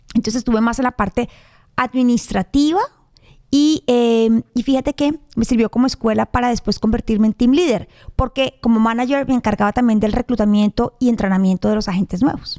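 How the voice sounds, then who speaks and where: In a Colombian accent, a woman speaks with a dark, mellow tone. Her loudness stays very even, with ordinary pitch variation. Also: fairly high pitch for a woman, fairly quick pace, dry, close sound with no echo. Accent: Colombian, noticeable. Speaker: real estate agent. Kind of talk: podcast interview. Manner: fast.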